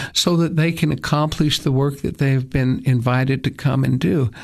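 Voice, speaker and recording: A man with an East Tennessee accent, fairly high pitch and ordinary pitch variation. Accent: East Tennessee Southern American. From East Tennessee, US South. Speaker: attorney and church leader. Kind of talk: radio interview. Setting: studio.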